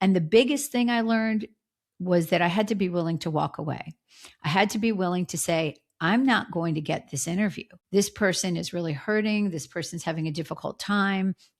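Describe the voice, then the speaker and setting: In a very clean recording with a silent background, a woman with an American accent speaks fairly quickly at a medium pitch, with ordinary pitch variation and an unremarkable speaking voice. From US Northeast, Philadelphia. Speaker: former TV crime reporter, author. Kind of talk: podcast interview.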